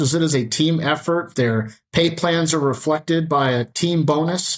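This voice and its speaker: A man with an ordinary speaking voice, fairly high-pitched, with ordinary pitch variation and a fairly slow pace. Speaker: powersports dealership general manager. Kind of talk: podcast interview.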